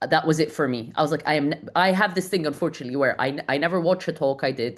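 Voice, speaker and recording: The speech runs at a very fast pace with ordinary pitch variation. The background is quiet. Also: woman, very deep, low pitch for a woman. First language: not English. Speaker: community founder and author. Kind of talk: podcast interview. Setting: podcast recording. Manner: fast, with frequent repetitions and restarts.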